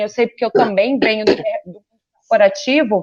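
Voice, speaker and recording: An ordinary speaking voice from a woman, fairly high in pitch, at a moderate pace. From Rio de Janeiro, Brazil. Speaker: photographer and communications professional. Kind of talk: interview.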